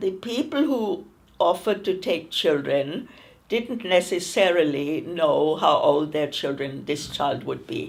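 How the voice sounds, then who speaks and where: A fairly slow delivery with very wide pitch swings. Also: woman, fairly low pitch for a woman. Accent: German. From Germany, Berlin. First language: German. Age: 90s. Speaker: Kindertransport refugee. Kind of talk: oral history interview.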